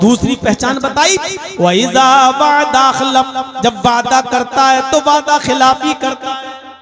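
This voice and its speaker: Music plays in the background as a man speaks at an extremely high pitch. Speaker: Islamic preacher. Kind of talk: religious sermon to a live audience.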